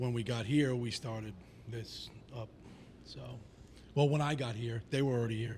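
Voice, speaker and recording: A man with an American accent speaks at a moderate pace and medium pitch, somewhat breathy, with fairly even intonation and long, frequent pauses. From Staten Island, New York. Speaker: band musician. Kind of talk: casual chat.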